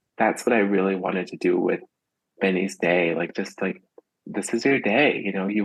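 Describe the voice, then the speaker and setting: A man's voice sits at a fairly low pitch. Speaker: children's book author and preschool teacher. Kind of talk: casual interview. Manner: fast.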